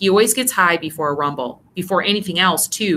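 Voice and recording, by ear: A text is being read out. The delivery is in a natural voice.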